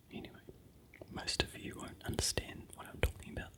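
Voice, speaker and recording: Whispering in a New Zealand accent, with noticeable background noise. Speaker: ASMR creator. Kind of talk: whispered ASMR vlog. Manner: soft-spoken.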